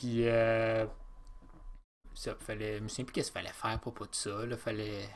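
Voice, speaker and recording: A man with a Quebec accent at a medium pitch and a fairly quick pace, in a very clean recording with a silent background. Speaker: podcast host. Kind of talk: casual chat.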